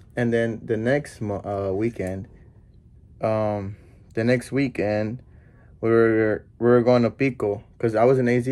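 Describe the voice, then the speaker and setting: The man's tone is dark and mellow, and his pace stays moderate. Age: 20s. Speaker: YouTuber. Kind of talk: casual chat. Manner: animated. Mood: relaxed, casual. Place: home room. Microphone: camera far.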